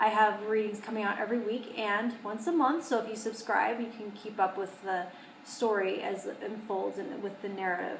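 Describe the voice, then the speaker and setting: Speaking at a moderate pace, a woman has a fairly high pitch and fairly even intonation, with audible room echo and noticeable background noise. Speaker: tarot reader. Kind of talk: tarot reading to camera. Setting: studio.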